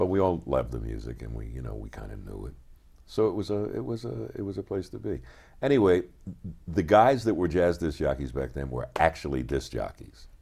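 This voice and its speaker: A man with a very deep, low pitch and a dark, mellow tone talks at a fairly quick pace with vocal fry. His pitch swings very widely and his loudness shifts a lot, over a very clean recording with a silent background. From US, Philadelphia. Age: 60s. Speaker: record producer. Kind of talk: interview. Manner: casual.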